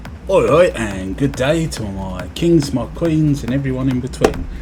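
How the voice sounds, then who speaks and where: A man's voice with music in the background. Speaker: cancer patient. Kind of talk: casual vlog talk while driving. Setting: in a car.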